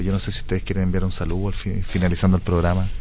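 Amid noticeable background noise and audible room echo, a man speaks at a very deep, low pitch. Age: 40s. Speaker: radio host. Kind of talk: radio interview.

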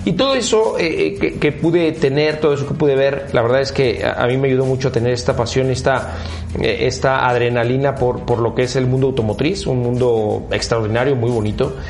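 A man with a Mexican accent speaks at a fairly quick pace and medium pitch, with ordinary pitch variation and very even loudness, amid audible room echo and music in the background. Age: 40s. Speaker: car brand executive. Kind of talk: interview. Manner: hesitant, many fillers.

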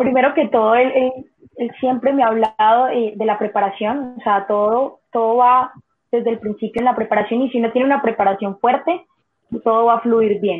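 In a plain, everyday voice, a woman with a fairly high pitch speaks at a moderate pace with fairly even intonation. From Colombia, Cali. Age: 20s. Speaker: cliff diver. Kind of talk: interview.

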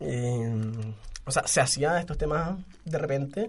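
This is an unremarkable speaking voice from a man. He speaks at a fairly slow pace with lively intonation. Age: 20s. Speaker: podcast co-host. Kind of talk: casual chat.

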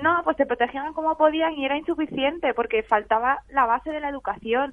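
A woman with a high-pitched voice talks at a fairly quick pace with ordinary pitch variation. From Spain. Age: 20s. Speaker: graphic novelist. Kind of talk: radio interview.

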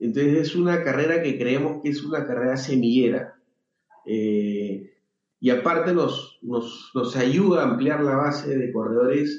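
The man's medium-pitched voice shifts in an ordinary way as he talks. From Peru, Lima. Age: 40s. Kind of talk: interview. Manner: halting, many fillers.

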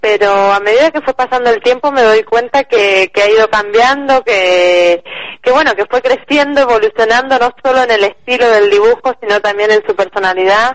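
A woman speaks in a normal speaking voice at a fairly high pitch, with ordinary pitch variation and very even loudness. She keeps a moderate pace with hardly any pauses, in a dry, close sound with no echo. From Argentina. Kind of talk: interview.

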